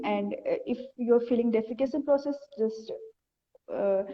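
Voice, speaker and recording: This woman talks at a high pitch with fairly even intonation. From India. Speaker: ayurveda practitioner. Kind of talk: casual chat. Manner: halting.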